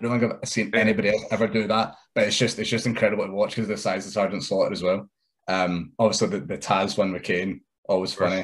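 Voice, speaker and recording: Against a quiet background, a man with a fairly low pitch talks at a very fast pace with fairly even intonation. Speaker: wrestler. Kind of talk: casual interview chat.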